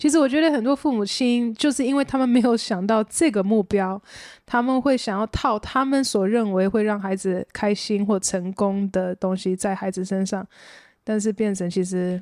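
A woman's normal speaking voice, fairly high-pitched with ordinary pitch variation, at a moderate pace on a very clean recording with a silent background. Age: 30s. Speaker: adult daughter. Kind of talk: casual chat.

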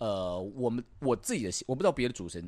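Talking at a very fast pace with lively intonation, a man comes through on a very clean recording with a silent background. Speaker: radio host. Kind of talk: casual chat. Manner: animated.

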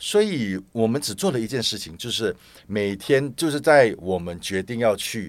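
Lively intonation and big swings in loudness from a man with a plain, everyday voice, medium pitch and fairly slow pace, on a very clean recording with a silent background. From Malaysia. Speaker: pilgrimage support group organizer. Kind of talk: casual interview chat.

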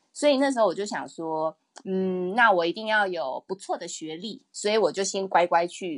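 An ordinary speaking voice moves at a fairly slow pace against a quiet background. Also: woman. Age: 30s. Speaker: illustrator and picture book author. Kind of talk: interview.

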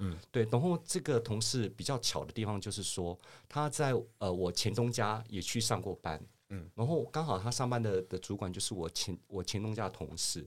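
The recording is very clean, with a silent background. A man with a fairly low pitch speaks at a moderate pace with lively intonation. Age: 50s. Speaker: finance professional. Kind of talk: casual interview.

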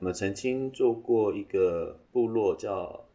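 This man's voice sits fairly low and sounds somewhat breathy. His pitch varies in an ordinary way. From Taiwan, Taitung (Amis). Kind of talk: interview.

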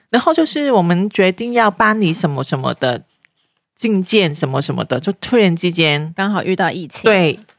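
A woman with a medium pitch speaks at a moderate pace with lively intonation, the sound dry and close with no echo. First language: Cantonese (speaking Chinese). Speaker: parenting blogger. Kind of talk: casual chat.

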